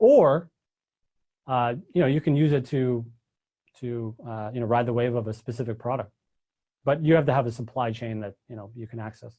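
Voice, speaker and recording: This man's dark, mellow voice is somewhat breathy and fairly even in intonation, broken by long, frequent pauses and big swings in loudness. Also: medium pitch for a man. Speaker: copywriting and e-commerce teacher. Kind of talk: live webinar lecture. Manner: fast.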